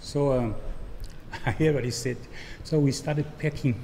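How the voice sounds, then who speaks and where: Noticeable background noise surrounds a man with a fairly high pitch. He talks at a fairly slow pace with lively intonation. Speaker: former resident. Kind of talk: testimony.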